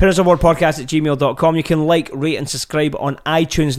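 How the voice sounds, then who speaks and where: A man speaks with a Scottish accent. The recording is very clean, with a silent background. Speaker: podcast host, parent. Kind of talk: casual chat.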